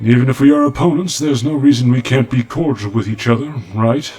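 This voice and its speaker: Using a cartoonish character voice at a medium pitch, a man speaks at a very fast pace. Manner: formal, polite.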